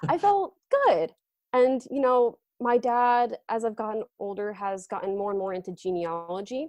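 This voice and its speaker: A woman talks at a moderate pace with an American accent. Her pitch is fairly high and moves in an ordinary way. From Connecticut, US. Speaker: essay author. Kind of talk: podcast interview. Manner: animated.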